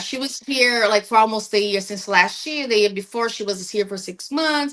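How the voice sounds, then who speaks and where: Noticeable background noise sits behind this recording. A woman speaks with a fairly high pitch and ordinary pitch variation. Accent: Portuguese. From Brazil. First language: Portuguese. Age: 40s. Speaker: podcast guest. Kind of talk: casual chat.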